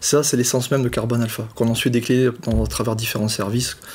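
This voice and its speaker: This man talks at a very fast pace in a southern French accent. His pitch is medium. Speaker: fintech co-founder, former private banking director. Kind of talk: interview. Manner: hesitant, many fillers and repetitions.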